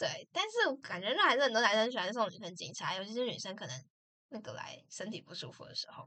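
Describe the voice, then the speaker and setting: Talking at a very fast pace, a woman's voice shows big swings in loudness. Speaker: podcast co-host. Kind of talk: casual chat.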